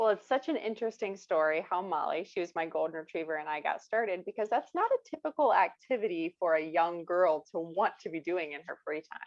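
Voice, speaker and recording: The speaker talks fairly quickly with hardly any pauses, in a Midwestern American accent. The intonation is lively. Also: woman, medium pitch for a woman. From US Midwest, rural Ohio. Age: 20s. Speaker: children's author. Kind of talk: interview.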